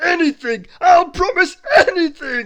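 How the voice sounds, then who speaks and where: In a put-on character voice, the speaker talks at a fairly slow pace with an extremely high pitch. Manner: pleading, desperate.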